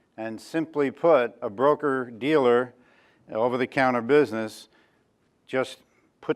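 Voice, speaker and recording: With a New York accent, the speaker leaves long, frequent pauses against a quiet background. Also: man. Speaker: options trader and industry veteran. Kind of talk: talk to an audience. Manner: halting, many fillers.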